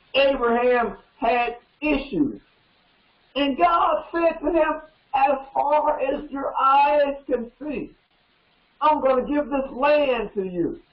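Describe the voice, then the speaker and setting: An American-accented man speaks at a very slow pace with extremely high pitch, ordinary pitch variation, long, frequent pauses and audible room echo. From US South (Georgia). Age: 70s. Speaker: pastor. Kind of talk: sermon. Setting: studio. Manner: animated. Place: studio.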